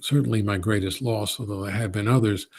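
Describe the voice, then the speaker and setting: In a New York accent, a man with a fairly low pitch and a somewhat breathy voice speaks with ordinary pitch variation on a very clean recording with a silent background. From Brooklyn, New York. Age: 60s. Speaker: poet. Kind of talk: Q&A answer at a college event. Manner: halting, many fillers.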